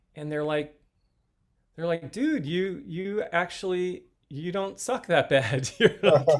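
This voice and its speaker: Speaking very slowly, a man uses a high pitch and lively intonation. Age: 60s. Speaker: fitness company owner and coach. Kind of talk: podcast interview. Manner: halting.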